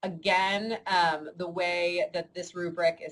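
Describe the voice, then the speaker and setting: This woman has an American accent. Her pitch is fairly low. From New York. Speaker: university instructor. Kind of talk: online lecture. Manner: fast; many filler words.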